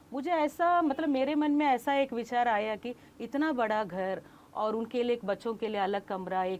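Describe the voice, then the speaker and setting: Very wide swings in pitch from a woman with a fairly high voice. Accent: Kannada. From Tamil Nadu, India. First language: Kannada (speaking Hindi). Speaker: Hindi book promoter, scholar. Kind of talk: interview.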